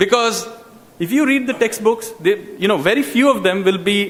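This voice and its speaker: Talking at a moderate pace in a Bengali accent, a man uses ordinary pitch variation. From India, Calcutta. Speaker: public speaker on education. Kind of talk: public talk.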